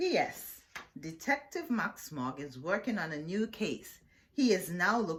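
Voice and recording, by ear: Text is read out loud in a natural-sounding voice.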